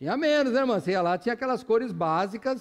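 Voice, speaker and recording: With very wide pitch swings, a man speaks. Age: 60s. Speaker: pastor. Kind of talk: sermon. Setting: church.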